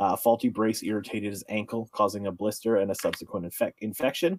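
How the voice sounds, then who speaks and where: The sound is dry and close, with no echo. It is an unremarkable speaking voice at a fairly quick pace. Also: man. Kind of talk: casual chat.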